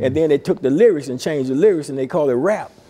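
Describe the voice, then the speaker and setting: Noticeable background noise sits under a man's fairly high voice. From Alabama, Tuscaloosa. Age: 50s. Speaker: pastor. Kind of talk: interview. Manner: animated.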